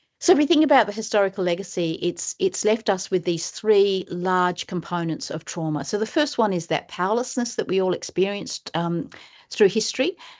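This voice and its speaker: In an Australian accent, a woman of medium pitch speaks at a fairly quick pace with lively intonation and hardly any pauses. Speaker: professor. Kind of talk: webinar presentation. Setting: webinar.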